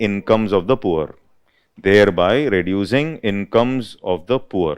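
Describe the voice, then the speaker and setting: Speaking in a fairly low voice with lively intonation, a man has an Indian accent. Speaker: UPSC economics teacher. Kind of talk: lecture. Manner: dictation pace, repeating phrases.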